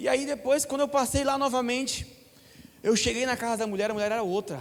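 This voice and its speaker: Speaking at a fairly quick pace, a man uses an extremely high pitch with ordinary pitch variation. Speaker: preacher. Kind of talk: sermon.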